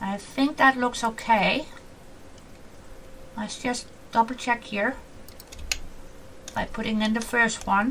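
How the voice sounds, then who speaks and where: Over noticeable background noise, a woman with a fairly high pitch speaks at a very slow pace, leaving long, frequent pauses. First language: not English (English is her fourth language). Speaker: gaming YouTuber. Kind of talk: casual gameplay commentary. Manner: chatty, animated.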